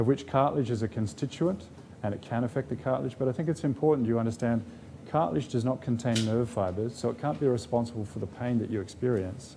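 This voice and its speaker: Talking at a very fast pace, a man with a medium pitch and a dark, mellow tone uses lively intonation. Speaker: professor of medicine, rheumatologist. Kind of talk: public lecture.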